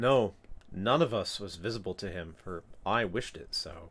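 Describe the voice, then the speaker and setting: The speaker puts on a character voice. The delivery is neither fast nor slow. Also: man, fairly low pitch for a man. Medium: read story. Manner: calm, assured, detached.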